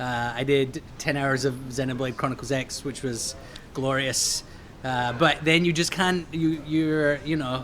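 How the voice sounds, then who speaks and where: Noticeable background noise sits behind a man speaking at a fairly slow pace. His pitch is fairly high, with fairly even intonation. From Scotland. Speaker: game developer. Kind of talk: casual interview.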